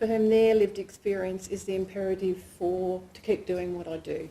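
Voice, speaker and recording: This woman speaks with an Australian accent. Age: 60s. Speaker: PhD candidate and lecturer. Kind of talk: research presentation. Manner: casual, self-deprecating with fillers.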